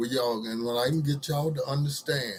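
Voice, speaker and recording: At a fairly quick pace, a man speaks somewhat breathily with a fairly high pitch and ordinary pitch variation. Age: 60s. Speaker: social commentary vlogger. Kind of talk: casual monologue to camera. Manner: halting, with many fillers.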